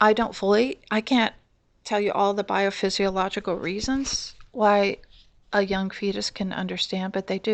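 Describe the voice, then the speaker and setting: A woman's medium-pitched voice at a moderate pace, with fairly even intonation over a quiet background. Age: 60s. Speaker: abuse survivor. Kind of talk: testimony. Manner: halting.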